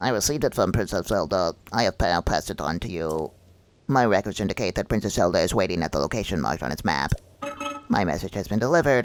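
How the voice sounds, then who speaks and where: A man does a put-on character voice at a fairly low pitch, talking at a very fast pace. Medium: game stream. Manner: formal, measured.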